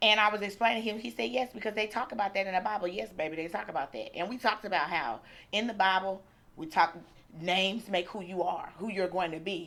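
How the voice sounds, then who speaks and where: Loud and animated, a woman talks at a very fast pace with a bright, sharp tone, medium pitch, and ordinary pitch variation. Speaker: attorney. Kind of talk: casual vlog talk.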